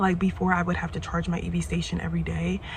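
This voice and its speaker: A very fast pace over noticeable background noise. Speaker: van life vlogger. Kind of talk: casual vlog talk.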